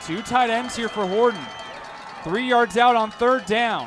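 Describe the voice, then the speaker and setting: A man speaks over noticeable background noise. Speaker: play-by-play announcer. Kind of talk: football play-by-play commentary. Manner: high-energy, smooth pacing.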